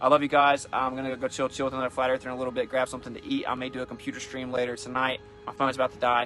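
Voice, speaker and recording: Over music in the background, a man at medium pitch speaks at a very fast pace with hardly any pauses. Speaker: flat earth activist streaming on a tour. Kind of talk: live stream monologue. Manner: animated.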